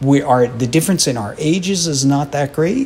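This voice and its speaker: With an unremarkable speaking voice, a man with an American accent talks at a fairly slow pace and with lively intonation, over light background noise. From US, Philadelphia; Pennsylvania. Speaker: retired orchestra percussionist and educator; educator. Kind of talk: interview; interview answer. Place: hall. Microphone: handheld.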